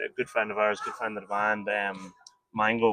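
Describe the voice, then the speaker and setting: A man in an Irish accent speaks at a fairly quick pace, in a dry, close sound with no echo. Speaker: rock band member. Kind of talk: interview.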